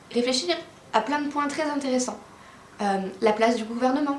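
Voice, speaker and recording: The speech moves at a moderate pace with ordinary pitch variation, set against noticeable background noise and audible room echo. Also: woman. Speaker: literature explainer youtuber. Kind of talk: educational explainer.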